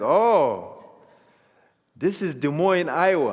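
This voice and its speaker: A man talks with lively intonation. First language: non-English African language. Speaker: public speaker, former refugee. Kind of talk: personal testimony.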